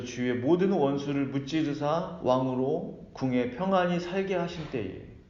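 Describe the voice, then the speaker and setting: A man speaks at medium pitch with ordinary pitch variation. Audible room echo surrounds his voice. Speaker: pastor. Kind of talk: sermon.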